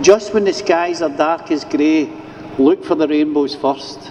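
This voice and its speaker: A man with a Scottish accent speaks fairly slowly in a passionate tone, his high pitch showing ordinary variation. Noticeable background noise is heard. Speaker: addiction recovery worker. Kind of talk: rally speech over PA. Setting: outdoors, PA system. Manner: passionate, informal.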